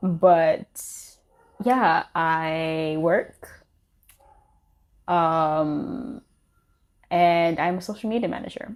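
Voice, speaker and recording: This voice moves at a very slow pace, broken by long, frequent pauses. Its intonation stays lively throughout. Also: woman, fairly low pitch for a woman. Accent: American. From Tanzania. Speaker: podcast co-host, social media manager. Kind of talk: casual chat.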